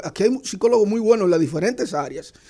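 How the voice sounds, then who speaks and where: Talking at a very fast pace, a man uses a high pitch with a dark, mellow tone and ordinary pitch variation. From eastern Dominican Republic, Hato Mayor. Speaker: university lecturer and analyst. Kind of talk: radio panel discussion.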